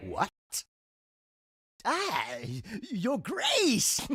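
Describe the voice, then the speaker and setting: A man's put-on character voice, pitched extremely high for a man. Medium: audio drama. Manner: theatrical, laughing.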